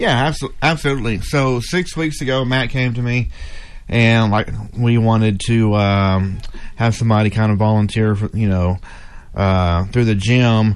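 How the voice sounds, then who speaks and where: Speaking at a fairly slow pace, a man has an ordinary speaking voice of medium pitch. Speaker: gym owner. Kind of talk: radio ad.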